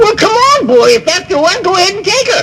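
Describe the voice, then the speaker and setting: A put-on character voice at an extremely high pitch, with very wide pitch swings, a fairly quick pace and clear background noise. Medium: read story. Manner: gruff, folksy.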